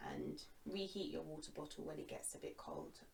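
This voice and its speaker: Calm and soothing in tone, a woman with a London accent talks at a fairly slow pace and a medium pitch. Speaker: yoga instructor. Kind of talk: guided yoga class; product recommendation. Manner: calm, soothing; casual, chatty.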